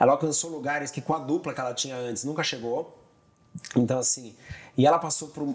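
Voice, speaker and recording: Speaking at a fairly quick pace with ordinary pitch variation, a man leaves long, frequent pauses. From Brazil, São Paulo. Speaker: TV director and tour guide; tour guide. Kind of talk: casual interview chat. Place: home room. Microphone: lapel.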